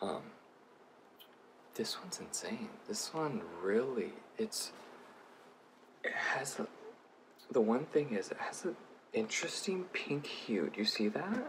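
A man whispers at a fairly slow pace. He pauses long and often, over light background noise. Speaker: beauty vlogger. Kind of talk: casual product review to camera. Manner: whispered. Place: home room. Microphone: phone near.

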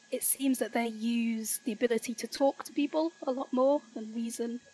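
A woman with a Yorkshire accent speaks at a moderate pace in a fairly high pitch. Her tone is dark and mellow, and her intonation is fairly even. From Yorkshire, northern England, rural village. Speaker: teacher and political activist. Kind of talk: casual interview chat. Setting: remote call from the UK.

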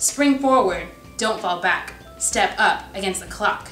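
A woman at a moderate pace with ordinary pitch variation, amid light background noise and audible room echo. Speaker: student promoting a poetry event. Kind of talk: spoken word poetry performance. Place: classroom.

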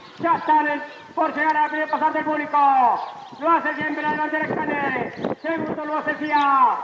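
Over noticeable background noise, a man uses a raised, projected voice at an extremely high pitch, talking at a fairly quick pace with monotone, flat intonation. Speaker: horse race caller. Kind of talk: live horse race commentary. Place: stadium.

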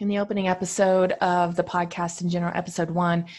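Her voice is somewhat breathy, with fairly even intonation. The woman talks at a fairly quick pace against a quiet background. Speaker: podcast host. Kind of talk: solo podcast talk. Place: home room. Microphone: studio mic.

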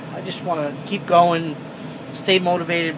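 A man keeps a fairly slow pace as noticeable background noise plays underneath. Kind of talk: casual vlog chat. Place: car. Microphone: phone near.

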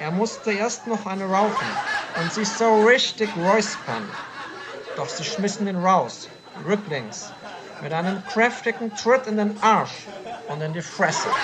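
A woman's medium-pitched voice with ordinary pitch variation, a very slow pace and long, frequent pauses, over noticeable background noise. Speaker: comedy storyteller. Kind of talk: comic story narration.

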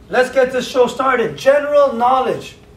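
An animated man at a moderate pace, with audible room echo and light background noise. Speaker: game show host. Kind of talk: game show hosting. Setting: studio. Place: home room. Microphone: camera far.

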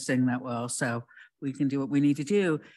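The speech comes at a fairly quick pace. The background is quiet. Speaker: city council member. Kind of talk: public meeting. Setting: council chamber. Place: hall. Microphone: podium.

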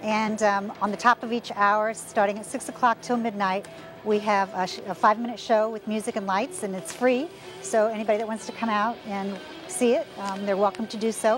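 With clear music playing in the background, a woman's voice comes through in a dry sound with no echo. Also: ordinary pitch variation, fairly quick pace. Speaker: interviewee. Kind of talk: interview answer. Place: street. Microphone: lapel.

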